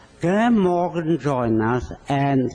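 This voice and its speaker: Speaking fairly slowly with lively intonation, a man has a dark, mellow tone and a strong non-native accent. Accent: thick foreign. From Poland. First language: not English. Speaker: physician. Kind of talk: speech. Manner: halting.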